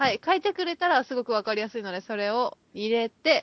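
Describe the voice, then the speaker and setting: The speaker is a woman with fairly high pitch. She talks at a fairly quick pace. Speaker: podcast co-host. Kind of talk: casual chat. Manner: fast; mumbling.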